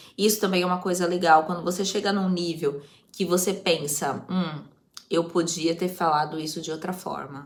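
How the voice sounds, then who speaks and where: A woman with a fairly low pitch and a normal speaking voice talks at a moderate pace with fairly even intonation. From Brazil, Osasco, São Paulo. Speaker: youtuber, language-learning vlogger. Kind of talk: casual vlog talk.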